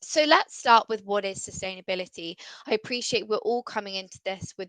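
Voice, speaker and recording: A woman with an English accent talks at a fairly quick pace in a medium pitch and a bright, sharp tone. The sound is dry and close with no echo, over a quiet background. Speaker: sustainability consultant. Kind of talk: webinar presentation. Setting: video call.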